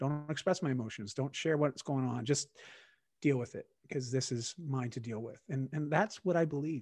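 Over a quiet background, a man with a slight Canadian accent speaks in a somewhat breathy voice, his fairly high pitch showing ordinary variation. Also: moderate pace. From Canada. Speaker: wellness coach. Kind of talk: casual interview chat. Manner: halting, repeats words.

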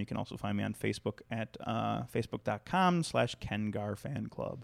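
With an American accent and a plain, everyday voice, a man speaks at a moderate pace and fairly low pitch with lively intonation, in a dry, close sound with no echo. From Chicago, US Midwest. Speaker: stand-up comedian. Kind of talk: casual chat. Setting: studio.

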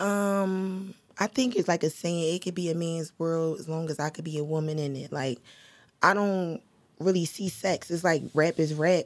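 A woman's fairly low voice with ordinary pitch variation at a moderate pace. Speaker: rapper. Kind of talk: casual chat.

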